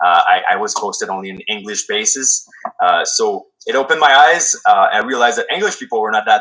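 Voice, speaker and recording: The pace is fairly quick. Loudness swings widely. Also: man. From Quebec. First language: French. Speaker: military veteran and former police officer. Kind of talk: podcast interview. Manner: halting, many fillers.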